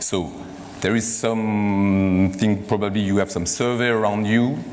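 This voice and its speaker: A man with a French accent speaks at a fairly low pitch with fairly even intonation. There is noticeable background noise and audible room echo. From France. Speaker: corporate executive hosting a conference. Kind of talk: closing remarks at a conference. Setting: stage with audience. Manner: halting, many fillers.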